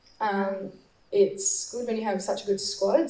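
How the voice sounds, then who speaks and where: A woman with an Australian accent speaks at a moderate pace over noticeable background noise. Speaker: distance runner. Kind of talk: panel Q&A. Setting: stage with audience.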